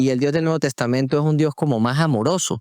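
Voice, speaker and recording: Recorded with a dry, close sound, no echo, and a silent background on a very clean recording, a man speaks with an Andean Venezuelan accent. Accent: marked Andean Venezuelan (Táchira). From Venezuela, Táchira. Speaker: podcast host. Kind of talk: religious podcast conversation. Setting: recording on location in Táchira.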